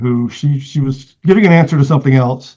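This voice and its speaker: Somewhat breathy and dark, mellow in tone, a man's fairly high voice moves at a moderate pace. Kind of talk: interview. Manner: halting, many fillers.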